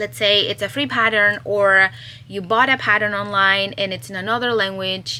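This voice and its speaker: Talking at a fairly slow pace, a woman with a Spanish accent has a medium pitch. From Chile. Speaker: crochet pattern designer and vlogger. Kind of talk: casual vlog. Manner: animated.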